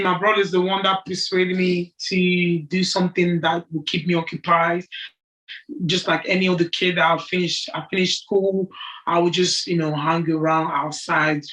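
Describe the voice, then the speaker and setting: A woman with a French accent, medium pitch, bright and sharp tone, moderate pace and monotone, flat intonation. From Cameroon, raised in Bolton from age 11. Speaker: amateur boxer. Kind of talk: interview.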